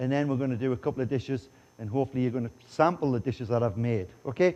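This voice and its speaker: Talking at a very fast pace in a Geordie accent, a man uses a medium pitch and a dark, mellow tone. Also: ordinary pitch variation. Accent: English (Geordie), noticeable. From northeast England, Newcastle upon Tyne. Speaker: chef. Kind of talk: conference presentation and cooking demo. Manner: jokey, casual.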